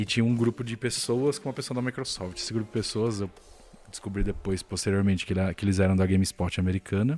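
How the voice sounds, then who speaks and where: This man has a fairly low pitch with ordinary pitch variation. He speaks at a very fast pace. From Brazil. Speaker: video game journalist. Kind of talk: casual chat.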